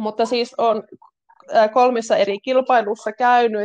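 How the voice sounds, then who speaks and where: The sound is dry and close with no echo as a woman speaks at a very slow pace. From Finland, North Karelia (Kitee). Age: 30s. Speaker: pole dance instructor and physiotherapist. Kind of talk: casual interview. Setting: remote call.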